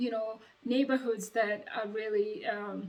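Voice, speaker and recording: A woman with a strong African accent talks in a fairly high pitch with fairly even intonation. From Uganda. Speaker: vlogger, former door-to-door salesperson. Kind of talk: casual advice vlog. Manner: hesitant, many fillers.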